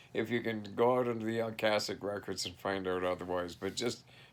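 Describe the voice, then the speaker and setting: Man with a Canadian prairie accent, fairly even intonation and a moderate pace. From Canada, southeast Saskatchewan. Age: 60s. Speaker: vlogger. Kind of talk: casual monologue. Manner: halting.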